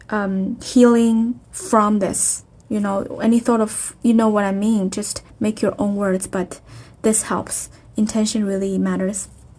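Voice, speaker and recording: A woman with a non-native accent speaks at a fairly slow pace and a fairly high pitch. Her voice is somewhat breathy and her intonation monotone and flat. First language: not English. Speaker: spiritual healing video host. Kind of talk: spiritual self-help talk. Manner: halting, many fillers.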